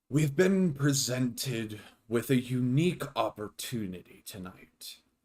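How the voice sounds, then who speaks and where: A man's put-on character voice, medium in pitch, at a fairly slow pace with lively intonation. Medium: actual play. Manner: formal, clipped, authoritative.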